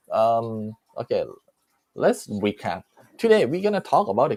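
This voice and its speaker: A man with a Thai accent, medium pitch and lively intonation, at a moderate pace in a dry, close sound with no echo. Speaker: live stream host. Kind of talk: casual live chat. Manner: animated.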